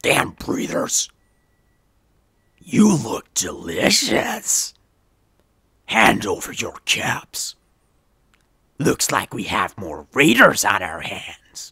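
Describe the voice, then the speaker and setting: Raspy and menacing, a man puts on a character voice at a medium pitch. He talks at a very slow pace with long, frequent pauses. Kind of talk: game character audition lines.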